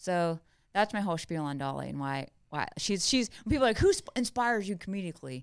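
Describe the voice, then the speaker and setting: At a fairly quick pace, a woman with an American accent speaks with very wide pitch swings. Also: medium pitch for a woman, very clean recording, silent background. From US South, South Carolina. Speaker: stand-up comedian. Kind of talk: casual interview chat.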